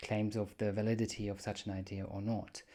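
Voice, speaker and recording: Speaking at a moderate pace, a man with a German accent has a fairly low voice. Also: very clean recording, silent background. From Germany. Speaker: podcast host. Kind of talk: solo podcast monologue. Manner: casual, with hesitations.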